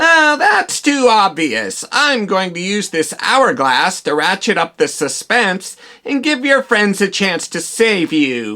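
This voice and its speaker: A cartoonish character voice at a middle pitch makes very wide pitch swings. It moves at a fairly slow pace with hardly any pauses. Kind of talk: comic overacting. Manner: theatrical, cackling villain.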